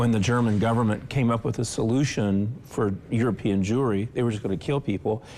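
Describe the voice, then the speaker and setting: A man at a fairly quick pace and medium pitch, dark, mellow tone, fairly even intonation, very even loudness and hardly any pauses. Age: 60s. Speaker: author and civic leader. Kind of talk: interview.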